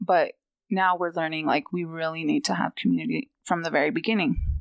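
In an American accent, a woman speaks at a fairly quick pace with a fairly low pitch. It is a plain, everyday voice. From Fort Belknap reservation, Montana. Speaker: maternal health researcher, PhD student. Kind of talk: personal testimony in interview.

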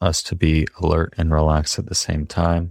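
A man with a very deep, low voice speaks at a moderate pace. The sound is dry and close with no echo, with music in the background. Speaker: podcast host. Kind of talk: podcast intro and outro.

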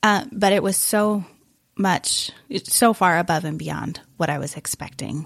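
Over a quiet background, a woman with an American accent talks in an ordinary speaking voice, her pitch varying in an ordinary way at a fairly slow pace. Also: medium pitch for a woman. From Wisconsin. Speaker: missions coordinator. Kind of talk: casual interview chat.

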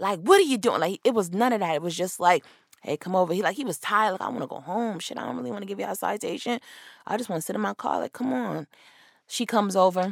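A woman's very fast, animated delivery with lively intonation and vocal fry. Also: medium pitch for a woman. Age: 20s. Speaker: podcast host. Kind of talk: solo commentary on celebrity news.

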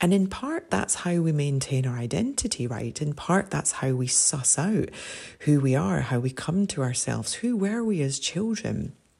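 A somewhat breathy voice with a Scottish accent moves at a moderate pace through very wide pitch swings. The tone is warm and gentle, as well as dark and mellow. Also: woman, very deep, low pitch for a woman. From Scotland. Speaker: podcast host. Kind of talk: casual monologue. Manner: warm, gentle.

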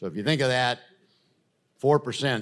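Recorded very cleanly over a silent background, a man speaks with an American accent. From US Midwest, Madison, Wisconsin. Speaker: healthcare executive. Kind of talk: interview.

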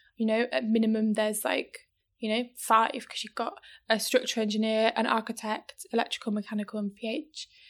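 A woman with a British accent is speaking. Her pitch is fairly high and her pace fairly quick. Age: 20s. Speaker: electrical engineer. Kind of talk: interview.

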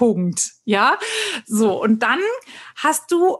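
A woman is speaking. The background is quiet. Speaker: podcast host. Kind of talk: casual chat.

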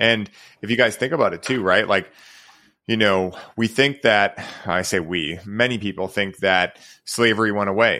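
Speaking at a moderate pace with long, frequent pauses, a man has a bright, sharp tone. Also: fairly low pitch for a man, ordinary pitch variation. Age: 30s. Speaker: podcast host. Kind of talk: casual interview. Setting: remote video call.

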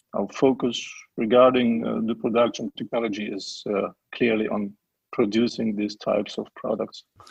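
Here a man talks with a German accent. He keeps a moderate pace. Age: 40s. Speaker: print company managing director. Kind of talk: interview. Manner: halting, many fillers.

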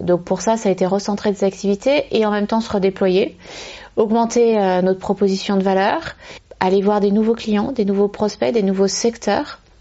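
She has an ordinary speaking voice at a medium pitch, moving at a moderate pace with fairly even intonation and very even loudness. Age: 30s. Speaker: company managing director. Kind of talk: interview. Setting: at her company premises.

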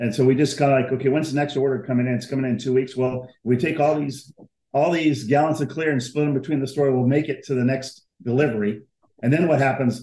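Somewhat breathy and dark, mellow in tone, a man speaks at a fairly high pitch and a fairly quick pace with fairly even intonation. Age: 60s. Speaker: automotive paint sales rep. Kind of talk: casual interview.

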